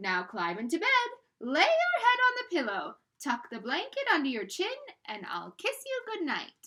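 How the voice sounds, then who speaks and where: A woman speaks at a moderate pace in a put-on character voice, her pitch extremely high with very wide swings. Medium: read story. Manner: affectionate, coaxing.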